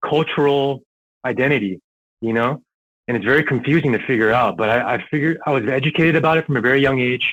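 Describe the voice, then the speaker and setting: Very fast and very even in loudness, a man with an American accent speaks at medium pitch with ordinary pitch variation. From Southern California and New York. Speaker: airsoft player. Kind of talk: casual podcast interview. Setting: podcast recording, audio only.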